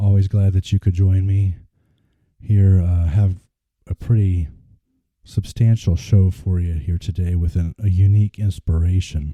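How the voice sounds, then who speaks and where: A man with a very deep, low voice and a dark, mellow tone speaks fairly slowly and somewhat breathily, with fairly even intonation and long, frequent pauses, the sound dry and close with no echo. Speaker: podcast host. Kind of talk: casual podcast monologue. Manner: some stuttering and repetition.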